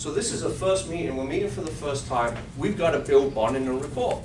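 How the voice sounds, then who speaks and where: With a non-native accent, a man with a fairly high pitch for a man talks at a fairly quick pace with lively intonation, over noticeable background noise and audible room echo. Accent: foreign. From outside the US. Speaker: financial advisor and sales trainer. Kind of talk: sales role-play; training workshop.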